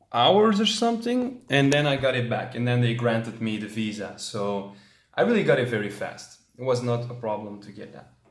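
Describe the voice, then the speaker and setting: A man's medium-pitched voice at a moderate pace, with ordinary pitch variation, big swings in loudness and audible room echo. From Belgium, Antwerp. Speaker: travel vlogger. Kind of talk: vlog monologue.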